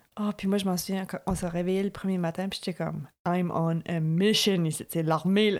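The woman's intonation is monotone and flat, her pitch medium and her pace moderate. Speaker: podcast co-host. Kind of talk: casual chat.

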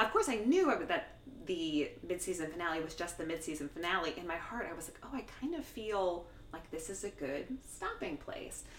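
A woman with an American accent and a fairly low pitch speaks with lively intonation and big swings in loudness over noticeable background noise. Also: moderate pace. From New Jersey. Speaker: TV culture writer. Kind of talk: casual chat.

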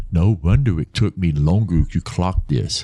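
A man's very deep, low voice with a dark, mellow tone, lively intonation and a fairly slow pace. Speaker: storytelling podcast host. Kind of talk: dramatic first-person horror narration, read aloud. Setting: studio podcast recording. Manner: theatrical, suspenseful, animated with wry asides; storyteller's pacing, builds tension toward a reveal.

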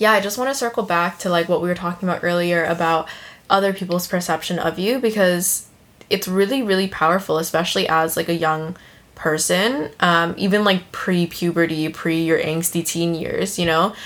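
A woman with a plain, everyday voice talks at a moderate pace at a fairly low pitch, with ordinary pitch variation. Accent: American. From United States. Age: 20s. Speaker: podcast host, new mother. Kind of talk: casual chat.

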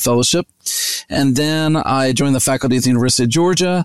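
With an American accent, a man has an unremarkable speaking voice at a medium pitch and fairly even intonation. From US South, West Virginia (Charleston). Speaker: veterinary nutrition professor. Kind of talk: interview.

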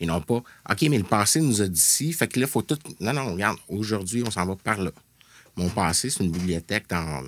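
A man's ordinary speaking voice, fairly low in pitch, with lively intonation at a moderate pace, on a very clean recording with a silent background. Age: 40s. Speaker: video game developer. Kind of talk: casual chat. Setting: studio.

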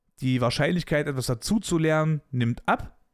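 A fairly high-pitched man with an animated tone at a fairly slow pace, in a dry, close sound with no echo, on a very clean recording with a silent background. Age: 20s. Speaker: podcast host. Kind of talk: casual monologue.

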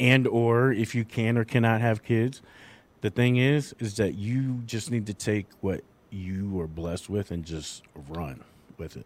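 This man has a plain, everyday voice, pitched in the medium range with ordinary pitch variation. He speaks at a fairly slow pace on a very clean recording with a silent background. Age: 40s. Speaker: parenting podcast host, father. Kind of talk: casual chat.

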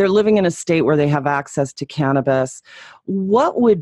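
A woman is heard in a dry, close sound with no echo. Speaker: radio host. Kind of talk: radio interview.

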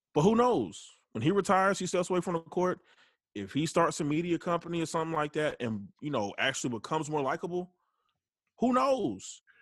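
A Southern US accent at a fairly quick pace, with very wide pitch swings, in a very clean recording with a silent background. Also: man, high pitch for a man. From US South. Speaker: guest co-host, sports fan. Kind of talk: casual chat.

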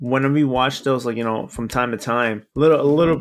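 This man has an ordinary speaking voice at medium pitch. His intonation stays fairly even. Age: 20s. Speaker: podcast co-host. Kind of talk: casual chat. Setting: call.

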